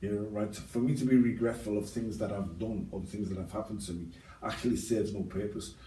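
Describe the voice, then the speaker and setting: A man with a Liverpool accent, plus audible room echo. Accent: Liverpool (Scouse). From Liverpool, England. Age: 60s. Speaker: ex-offender interviewee. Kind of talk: interview. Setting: podcast. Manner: halting, many fillers.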